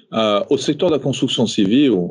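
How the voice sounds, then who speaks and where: A man is heard speaking against a quiet background. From France, childhood also in Morocco and Réunion. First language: French (speaking Portuguese). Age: 40s. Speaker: company executive. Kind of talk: interview. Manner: halting, with many fillers and repetitions.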